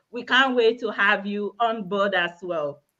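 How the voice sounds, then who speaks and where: A woman with a Nigerian accent speaks in a bright, sharp voice with ordinary pitch variation. She talks at a fairly slow pace against a quiet background. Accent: Nigerian (Yoruba) English. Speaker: healthcare worker and online business owner. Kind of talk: self-introduction on live panel. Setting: live video stream.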